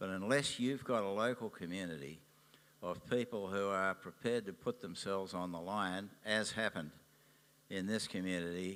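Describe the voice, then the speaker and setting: A man's fairly low voice in an Australian accent, at a moderate pace with ordinary pitch variation. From Australia, Sydney. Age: 80s+. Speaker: businessman and environmental activist. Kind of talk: interview at a public event.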